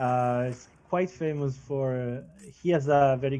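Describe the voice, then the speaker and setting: A man talks at a moderate pace with a non-native accent and fairly even intonation. Music plays in the background. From Switzerland. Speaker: football pundit. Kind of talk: casual chat. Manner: hesitant, many fillers.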